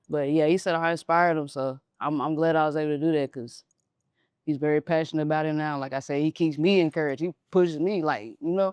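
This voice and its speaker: A woman with an American accent and a very deep, low pitch, at a fairly quick pace, in a dry, close sound with no echo and a quiet background. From Fort Worth, Texas. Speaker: R&B singer. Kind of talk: interview answer. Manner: casual.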